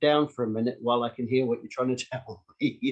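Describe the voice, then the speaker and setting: A man with a medium pitch talks at a fairly quick pace in a New Zealand accent. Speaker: street activist. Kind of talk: online Q&A session.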